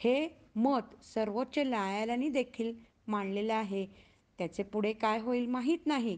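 A woman speaks in an ordinary speaking voice, her pitch fairly high with ordinary variation and her loudness very even. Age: 50s. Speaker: recitation contest participant. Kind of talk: prepared speech.

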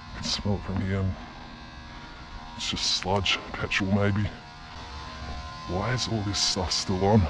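Over clear music in the background, a man with fairly low pitch speaks at a fairly slow pace in a monotone, flat intonation. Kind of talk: casual vlog chat. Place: factory. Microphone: phone near.

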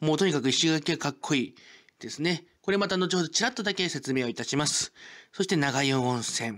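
An unremarkable speaking voice moves at a fairly quick pace with lively intonation over a very clean recording and a silent background. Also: man, fairly high pitch for a man. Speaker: local culture YouTuber. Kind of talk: informative presentation. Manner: formal, filler-heavy.

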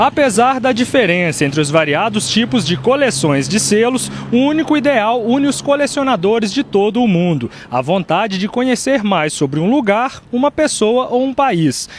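A man's high voice at a moderate pace with hardly any pauses, very wide pitch swings and very even loudness, over noticeable background noise. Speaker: TV news reporter. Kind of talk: TV news narration.

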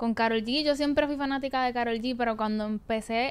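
A woman speaks with a fairly high pitch and ordinary pitch variation. Her pace is fairly quick. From Puerto Rico. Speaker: singer and former podcast panelist; podcast panelist. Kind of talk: interview. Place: studio. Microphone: studio mic.

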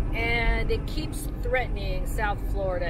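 Loud background noise surrounds a woman's voice, which has a dry sound with no echo. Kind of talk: casual vlog chat. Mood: slightly worried, hesitant. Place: car. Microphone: camera far.

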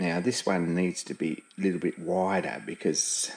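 A man's very deep, low voice. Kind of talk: tutorial. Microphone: camera far.

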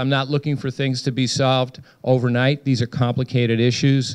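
A man speaks against a quiet background. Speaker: local elected official. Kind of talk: public meeting remarks. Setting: community meeting with audience. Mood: earnest, concerned. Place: hall. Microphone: handheld.

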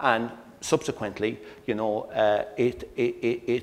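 The speaker is a man. He talks at a very slow pace. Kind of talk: lecture. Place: hall. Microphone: lapel.

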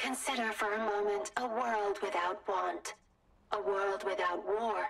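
A put-on character voice with a robotic quality, female-sounding and medium-pitched for a woman. The delivery moves at a fairly slow pace. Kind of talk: formal, promotional.

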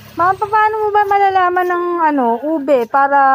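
A woman speaks at a moderate pace with lively intonation. Noticeable background noise is present. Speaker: vlogger. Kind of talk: casual vlog narration. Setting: outdoors at a street market.

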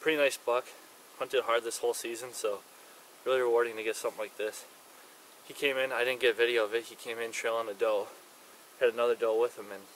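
Over light background noise, a man rattles along at a very fast pace in a monotone, flat delivery. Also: dry sound with no echo. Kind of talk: casual vlog chat. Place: forest.

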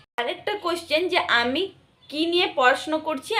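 Her pitch shows ordinary variation as this woman talks. Behind her, background noise is noticeable. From West Bengal, Birbhum district. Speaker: nursing student vlogger. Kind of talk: Q&A vlog.

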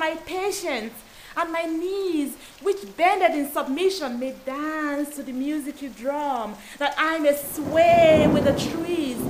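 Background noise is clearly audible under the very slow speech. The pitch varies in an ordinary way. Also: woman. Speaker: performance poet. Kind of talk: poetry reading. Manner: dramatic.

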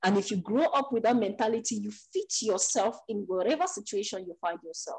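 A woman's somewhat breathy voice at a moderate pace over a quiet background. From Cameroon. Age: 20s. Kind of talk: interview answer. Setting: remote call, rooster in background. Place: home room. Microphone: video call.

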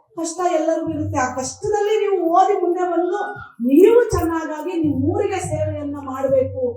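Audible room echo surrounds a woman's voice. Her pitch is extremely high, with ordinary variation. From Karnataka, village. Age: 50s. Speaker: women's commission chairperson. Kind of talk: public speech.

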